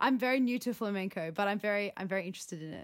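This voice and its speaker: Pitch variation from this woman is ordinary. Her recording is very clean, with a silent background. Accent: Australian. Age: 20s. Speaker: contemporary dancer. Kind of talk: casual interview.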